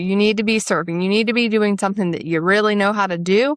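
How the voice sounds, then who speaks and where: On a very clean recording with a silent background, a woman with a Southern US accent talks at a very fast pace. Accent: Southern US, noticeable. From US South, upstate South Carolina. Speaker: podcast host, spiritual coach. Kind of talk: casual podcast monologue.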